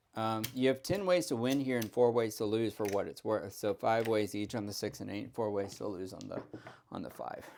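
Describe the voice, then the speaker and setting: This man has a normal speaking voice, pitched at a medium level. He talks at a moderate pace with ordinary pitch variation. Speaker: craps strategy youtuber. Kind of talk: tutorial. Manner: casual, chatty.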